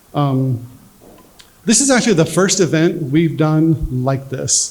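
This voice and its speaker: Speaking at a very slow pace, the man has a fairly high pitch, lively intonation and very even loudness. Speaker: military veteran and charity founder. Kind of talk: fundraiser speech. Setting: fundraiser dinner with audience. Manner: quiet.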